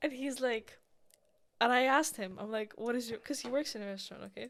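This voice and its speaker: A woman talks at a very fast pace. Her intonation is fairly even. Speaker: podcast host. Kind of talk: casual chat.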